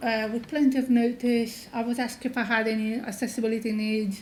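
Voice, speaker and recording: The speaker has a non-native accent and monotone, flat intonation, with audible room echo. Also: woman. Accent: sounds foreign. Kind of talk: conference talk. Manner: hesitant, many fillers.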